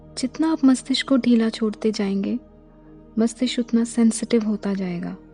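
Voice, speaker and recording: Against background music, a woman speaks in a calm tone at a fairly high pitch. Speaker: meditation guide. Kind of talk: guided meditation. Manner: slow, calm.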